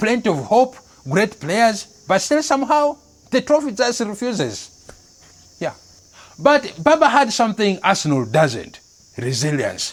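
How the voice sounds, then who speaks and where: Against noticeable background noise, a man talks at a high pitch and a fairly slow pace, his pitch swinging very widely. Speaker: comedy news host. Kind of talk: satirical news monologue.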